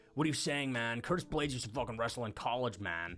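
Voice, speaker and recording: Putting on a character voice, a man rattles along at a very fast pace in a medium pitch. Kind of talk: casual, laid-back. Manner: incredulous, defensive.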